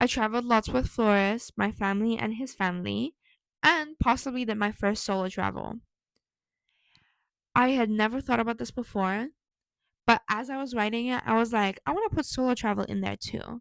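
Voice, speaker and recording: On a very clean, dry, close recording with no echo and a silent background, a woman speaks at a moderate pace and a fairly high pitch, with ordinary pitch variation and long, frequent pauses. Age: 20s. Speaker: vlogger. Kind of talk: casual vlog.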